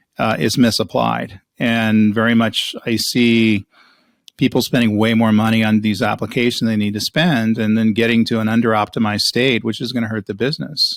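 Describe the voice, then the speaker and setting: A man with a normal speaking voice talks at a fairly quick pace, holding a medium pitch and fairly even intonation. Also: very clean recording, silent background. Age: 60s. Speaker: cloud strategy executive and author. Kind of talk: interview. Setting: podcast.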